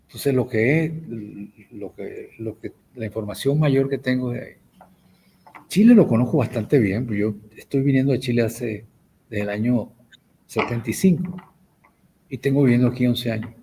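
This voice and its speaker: A man speaks at a moderate pace and medium pitch, his tone dark, mellow and somewhat breathy, with ordinary pitch variation. His loudness swings widely, and he leaves long, frequent pauses. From Venezuela. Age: 70s. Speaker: professor and writer. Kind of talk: interview. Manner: halting, frequent repetitions.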